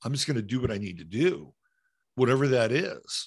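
A man's voice with vocal fry against a quiet background. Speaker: live-streaming show host. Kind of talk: casual commentary on news clips. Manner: casual, profane, sarcastic.

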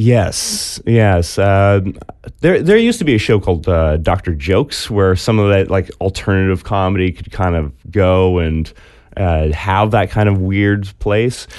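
A man talks at a fairly slow pace with a fairly low pitch. His pitch varies in an ordinary way. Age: 30s. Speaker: comedian. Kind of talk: casual chat. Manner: halting.

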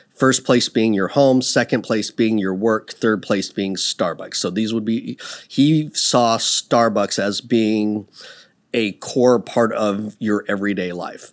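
Speaking at a very slow pace in a West Coast US accent, a man keeps a medium pitch and fairly even intonation on a very clean recording with a silent background. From US Pacific Northwest, Seattle area. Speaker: business owner. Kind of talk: casual interview.

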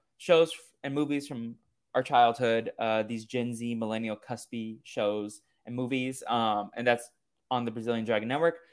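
Here a man has an unremarkable speaking voice at a medium pitch. He keeps a moderate pace and fairly even intonation. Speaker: podcast host. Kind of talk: casual chat.

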